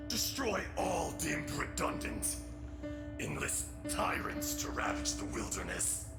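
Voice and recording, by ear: A man puts on a character voice, fairly high-pitched with vocal fry and very wide pitch swings. He goes slowly over loud background music.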